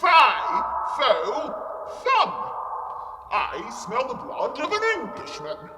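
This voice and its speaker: A man speaks loudly in a put-on character voice at a very slow pace, with an audible echo. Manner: roaring, menacing.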